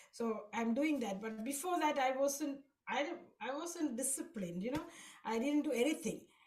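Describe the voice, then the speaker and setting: Audible room echo surrounds a woman's high-pitched voice. She talks at a moderate pace with lively intonation. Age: 60s. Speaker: devotee sharing experiences. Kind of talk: testimony. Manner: halting.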